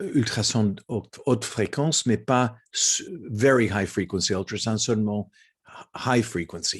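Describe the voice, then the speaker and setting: Speaking very slowly with a non-native accent, a man uses a fairly low pitch and ordinary pitch variation against a quiet background. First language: not French (speaking French). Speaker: ophthalmology professor. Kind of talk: lecture. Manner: halting.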